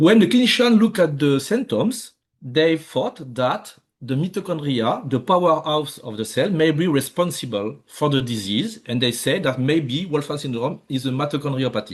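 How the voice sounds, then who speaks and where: A man with a French accent talks at a moderate pace in a fairly high, somewhat breathy voice with very wide pitch swings. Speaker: research scientist. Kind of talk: lecture. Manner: halting, many fillers.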